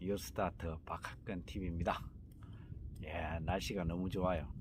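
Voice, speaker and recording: Speaking at a moderate pace, a man with a very deep, low pitch sounds relaxed and uses vocal fry. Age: 50s. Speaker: healing center host, cancer survivor. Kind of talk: casual vlog talk. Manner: relaxed, many fillers.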